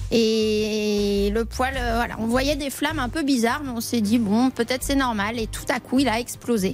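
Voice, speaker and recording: Over noticeable background noise, a woman speaks at a fairly slow pace. Her voice is fairly high, and her intonation is fairly even. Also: hardly any pauses. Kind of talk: radio quiz answer. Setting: studio.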